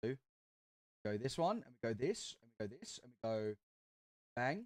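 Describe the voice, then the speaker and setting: A man's medium-pitched voice with an Australian accent, lively intonation and big swings in loudness, at a moderate pace in a dry, close sound with no echo. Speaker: streamer. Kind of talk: live stream commentary. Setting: live stream. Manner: animated.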